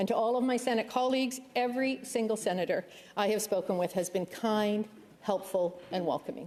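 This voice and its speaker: Speaking at a fairly quick pace with a Canadian accent, a woman has a plain, everyday voice, fairly high pitch, ordinary pitch variation and very even loudness. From Canada, Ontario. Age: 60s. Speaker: senator. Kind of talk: formal speech. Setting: legislative chamber. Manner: formal.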